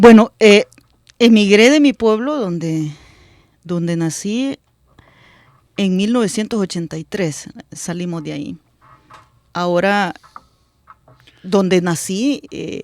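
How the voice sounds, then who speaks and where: A woman of medium pitch, very slow with long, frequent pauses, lively intonation and big swings in loudness, in a dry, close sound with no echo. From El Salvador, rural area near Suchitoto. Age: 40s. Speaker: politician. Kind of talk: radio interview. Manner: halting, with many fillers and repetitions.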